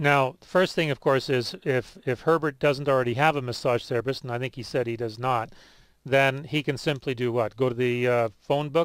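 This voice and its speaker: This man speaks at a moderate pace in a medium pitch, with fairly even intonation. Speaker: radio health show host. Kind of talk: radio call-in show. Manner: speaks louder for caller.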